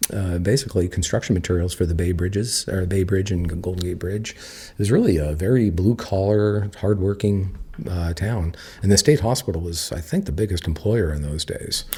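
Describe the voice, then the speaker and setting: A man with a US West Coast accent, very deep and low in pitch, somewhat breathy, dark and mellow in tone, at a fairly quick pace. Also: ordinary pitch variation. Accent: US West Coast American. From Napa, California, US. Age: 50s. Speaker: winery co-owner. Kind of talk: casual interview. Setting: at the winery. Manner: hesitant, many filler words.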